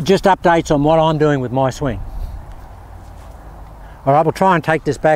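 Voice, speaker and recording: In a dry sound with no echo, a man talks at a moderate pace with lively intonation. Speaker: amateur golfer vlogger. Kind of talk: casual vlog chat. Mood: enthusiastic, self-critical. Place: open country.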